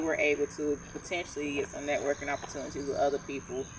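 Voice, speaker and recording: Against noticeable background noise, a woman with a Georgia accent speaks in a very deep, low pitch. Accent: southern US (Georgia). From North Georgia. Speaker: podcast co-host. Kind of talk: casual chat. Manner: articulate.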